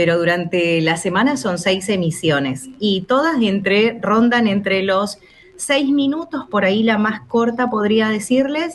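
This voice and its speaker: A woman with an Argentine accent speaks fairly slowly at a fairly high pitch, her voice swinging very widely in pitch. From Chubut, Patagonia, Argentina. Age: 40s. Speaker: radio announcer. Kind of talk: radio interview answer.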